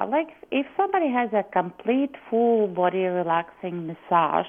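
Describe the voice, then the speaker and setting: A woman talks with a normal speaking voice, pitched fairly high. Her intonation is lively and her pace moderate. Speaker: caller. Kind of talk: casual chat. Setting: phone call.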